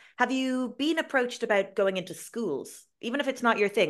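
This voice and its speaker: A woman with an Irish accent and lively intonation, against a quiet background. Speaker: podcast host and Irish language teacher. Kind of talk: casual interview chat. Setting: video call.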